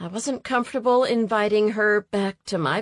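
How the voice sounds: The voice reads naturally. Nothing much sounds in the quiet background.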